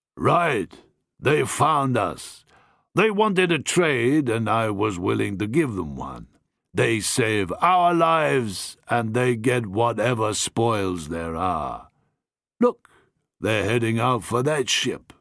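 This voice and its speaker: In a very clean recording with a silent background, a man uses a put-on character voice with very wide pitch swings at a very slow pace. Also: medium pitch for a man. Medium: read story. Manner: hearty, blunt.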